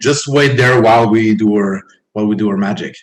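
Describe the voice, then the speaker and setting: A man speaks in a somewhat breathy voice. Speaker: guest. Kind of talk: interview answer.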